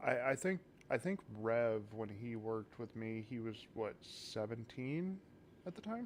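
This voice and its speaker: Here a man speaks at a fairly slow pace. His medium-pitched voice has lively intonation. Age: 30s. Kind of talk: casual chat. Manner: soft-spoken.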